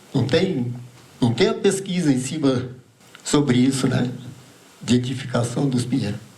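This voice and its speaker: A man at a moderate pace with very even loudness and long, frequent pauses, audible room echo and noticeable background noise behind him. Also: medium pitch for a man, ordinary pitch variation. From Santa Catarina highlands, Brazil. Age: 80s+. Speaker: pine nut gatherer, traditional farmer. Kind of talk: talk at a seminar. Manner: halting, with repetitions.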